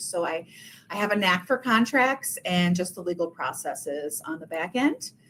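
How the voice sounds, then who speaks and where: The speaker has a strong Minnesotan accent and lively intonation. The pace is moderate. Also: woman. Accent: thick Minnesotan. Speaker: realtor. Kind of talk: webinar presentation. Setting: video call webinar.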